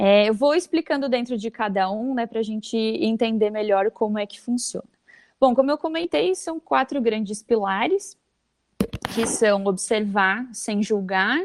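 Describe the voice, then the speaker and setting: Speaking at a moderate pace, a woman with an unremarkable speaking voice uses a fairly high pitch and ordinary pitch variation, recorded dry and close without echo. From Brazil, Santa Catarina (Vale do Itajaí). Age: 20s. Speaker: HR manager. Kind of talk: interview, explaining a communication technique.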